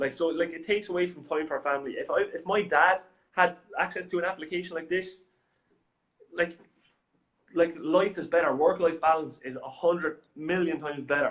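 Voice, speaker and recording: A man with an Irish accent talks at a fairly quick pace but leaves long, frequent pauses. His high voice keeps a fairly even intonation. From Ireland. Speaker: software company representative. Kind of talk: business talk show chat. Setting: studio. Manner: halting, many fillers.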